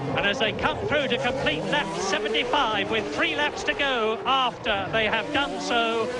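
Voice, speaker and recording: Over music in the background, a man speaks in a raised, projected voice at an extremely high pitch, moderate in pace with hardly any pauses, his intonation lively and loudness very even. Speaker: motor racing commentator. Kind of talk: live sports commentary.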